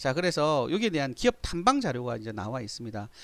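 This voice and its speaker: A man talks, his pitch swinging very widely. The recording is very clean and the background silent. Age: 50s. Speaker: stock market analyst. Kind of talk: tutorial. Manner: halting.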